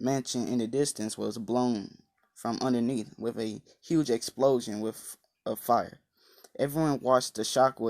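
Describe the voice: Someone does plain reading aloud with a quiet background.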